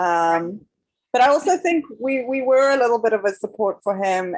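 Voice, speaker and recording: A woman with a non-native accent, moderate pace, and ordinary pitch variation. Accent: foreign. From South Africa. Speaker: documentary filmmaker. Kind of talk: panel interview.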